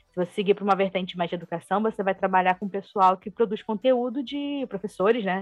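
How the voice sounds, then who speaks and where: A woman of medium pitch, very fast and with hardly any pauses, ordinary pitch variation, music in the background. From Brazil, Rio de Janeiro. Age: 20s. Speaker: UX designer. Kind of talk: casual interview.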